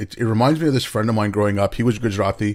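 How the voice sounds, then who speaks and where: On a very clean recording with a silent background, a man talks. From Canada. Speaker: podcast host. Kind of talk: casual interview conversation.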